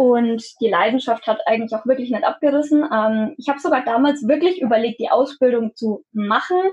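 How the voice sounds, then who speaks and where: A woman with a high voice talks at a moderate pace with ordinary pitch variation and hardly any pauses. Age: 20s. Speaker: photographer. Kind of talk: interview.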